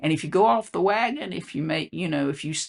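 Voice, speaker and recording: A woman with a Southern US accent speaks with lively intonation against a quiet background. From US South. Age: 70s. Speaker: health coach and legal consultant. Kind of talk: casual vlog monologue. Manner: halting, with many fillers.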